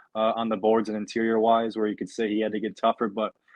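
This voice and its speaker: The man's voice sits fairly low. He speaks very fast. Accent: American. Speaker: sports podcast host. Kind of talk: casual sports discussion.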